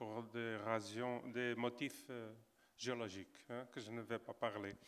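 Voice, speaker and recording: A man at a medium pitch, with a Portuguese accent. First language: Portuguese (speaking French). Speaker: geographer. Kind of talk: panel discussion. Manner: halting.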